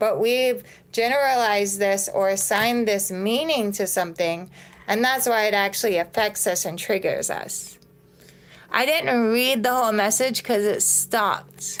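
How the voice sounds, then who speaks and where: An ordinary speaking voice of a woman, fairly high-pitched, moderate in pace, very even in loudness, with ordinary pitch variation. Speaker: nervous system and mindset coach. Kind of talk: live stream talk to viewers. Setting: social media live video.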